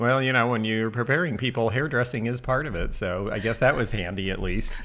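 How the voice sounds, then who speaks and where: Talking at a very fast pace, the man has a medium pitch. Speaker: antique dealer. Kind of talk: casual chat. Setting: livestream. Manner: quieter than the host. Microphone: too far from the mic.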